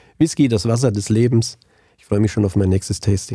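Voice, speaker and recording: Here a man speaks in a dark, mellow tone. His voice is somewhat breathy. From Germany, central Hesse (Hinterland, Angelburg). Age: 50s. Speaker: auditor and tax advisor. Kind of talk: interview.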